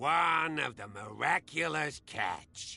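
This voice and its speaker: Using a put-on character voice, a man talks at a fairly slow pace with a fairly high pitch. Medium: video game.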